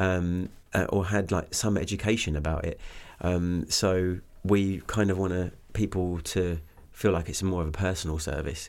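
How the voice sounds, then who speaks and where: With an English accent, a man speaks at a moderate pace in a very deep, low pitch, on a very clean recording with a silent background. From southeast England (Kent). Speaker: singer-songwriter. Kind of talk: casual interview.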